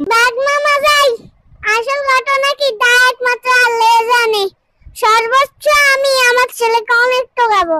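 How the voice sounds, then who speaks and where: A cartoonish character voice squeaks out at an extremely high pitch and a fairly slow pace. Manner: deferential to the tiger.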